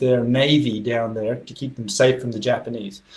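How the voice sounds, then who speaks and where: The man's voice is somewhat breathy. It sits at a medium pitch. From Western Australia, Esperance. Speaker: deacon. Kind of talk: interview.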